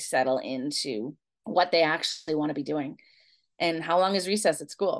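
In a normal speaking voice, a woman talks at a moderate pace with lively intonation. Her pitch is fairly low, against a quiet background. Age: 50s. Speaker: elementary school teacher and researcher. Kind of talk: interview.

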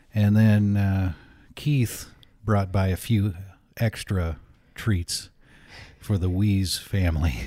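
Speaking at a very slow pace with long, frequent pauses, a man with a fairly low pitch and a dark, mellow tone keeps ordinary pitch variation and very even loudness in a very clean recording with a silent background. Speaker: podcast co-host. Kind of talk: casual chat. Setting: home studio.

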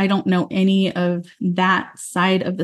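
Somewhat breathy, this woman talks with an American accent. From Utah, US. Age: 40s. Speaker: podcast host. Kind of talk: solo personal monologue. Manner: sing-songy when uncomfortable.

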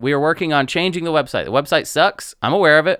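On a very clean recording with a silent background, a man speaks in an animated, bright, sharp tone at a fairly quick pace and a fairly high pitch. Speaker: podcast host. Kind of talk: casual interview chat. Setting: studio. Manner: animated, jokey.

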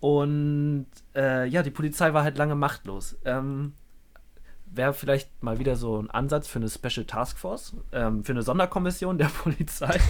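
An unremarkable speaking voice belongs to a man who talks at a moderate pace, fairly high in pitch with ordinary pitch variation. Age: 20s. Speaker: podcast co-host. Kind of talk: casual chat, storytelling.

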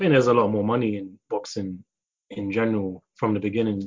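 Speaking fairly quickly, a man with a London accent keeps a medium pitch. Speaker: martial artist. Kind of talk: casual chat.

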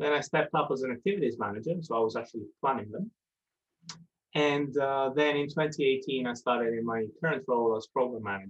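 A man with an Italian accent talks at a fairly quick pace. His medium pitch shows ordinary variation. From southern Italy. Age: young. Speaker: residential centre manager. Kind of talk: interview.

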